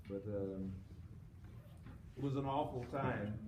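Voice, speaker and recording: Noticeable background noise and audible room echo fill the recording. A man speaks fairly slowly within it. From Florida, US South. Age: 80s+. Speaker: civil rights lawyer. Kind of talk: talk to students. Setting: school auditorium with audience.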